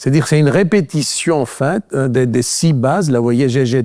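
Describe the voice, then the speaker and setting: A man speaks at a moderate pace with ordinary pitch variation and a medium pitch. The sound is dry and close, with no echo. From Greece. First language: Greek (speaking French). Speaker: physician and researcher. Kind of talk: lecture. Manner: halting, many fillers.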